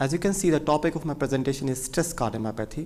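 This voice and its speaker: In an Indian accent, the voice runs at a very fast pace with a dark, mellow tone and ordinary pitch variation. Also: man. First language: Hindi. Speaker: cardiologist. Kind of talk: medical lecture.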